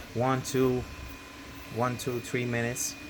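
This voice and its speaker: Through noticeable background noise, a man with a non-native accent talks at a medium pitch. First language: not English. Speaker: 3D printing hobbyist youtuber. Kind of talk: tutorial. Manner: hesitant, many fillers. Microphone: bad audio.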